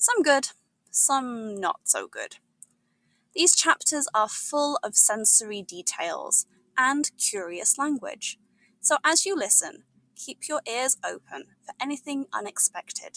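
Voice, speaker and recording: A woman with a British accent speaks very slowly in a raised, projected voice, her high pitch swinging very widely and her loudness rising and falling sharply, with a bright, sharp tone and a dry, close sound free of echo. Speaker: English teacher. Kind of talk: episode intro to ESL learners. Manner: upbeat, warm.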